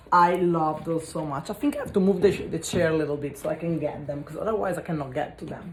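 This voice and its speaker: A woman's fairly low voice with an Italian accent, at a very fast pace with ordinary pitch variation, amid noticeable background noise. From Italy. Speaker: spiritual energy cleanse content creator. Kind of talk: casual vlog talk. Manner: halting.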